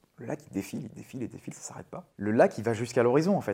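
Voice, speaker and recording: A man talks at a very fast pace with very wide pitch swings. His tone is dark and mellow. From Brittany, France. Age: 40s. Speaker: software worker and traveler. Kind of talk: interview testimony. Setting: home living room. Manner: casual, hesitant with fillers.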